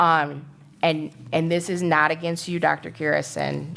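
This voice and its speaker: A woman's very deep, low voice with vocal fry, on a very clean recording with a silent background. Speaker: school board member. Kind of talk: committee meeting discussion.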